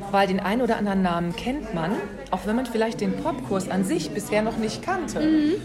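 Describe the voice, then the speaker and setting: A woman talks at a fairly quick pace with a fairly high pitch, very wide pitch swings and very even loudness, over noticeable background noise and audible room echo. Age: 50s. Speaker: podcast host. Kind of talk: interview. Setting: café.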